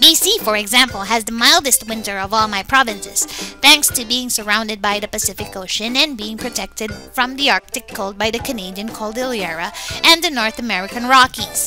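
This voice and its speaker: Doing a put-on character voice with a fairly high pitch, a woman speaks at a fairly quick pace while music plays clearly in the background. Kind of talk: comedic fandub narration.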